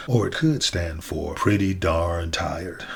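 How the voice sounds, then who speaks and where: Over audible room echo, a man with a Southern US accent talks at a fairly slow pace with lively intonation. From US South. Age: 60s. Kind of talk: inspirational monologue. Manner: halting.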